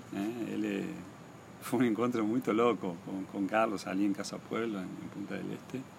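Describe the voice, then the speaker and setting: Against noticeable background noise, a man speaks at a moderate pace in a fairly low pitch with ordinary pitch variation. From Argentina, Misiones (Posadas). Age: 50s. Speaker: painter. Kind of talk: interview. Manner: halting.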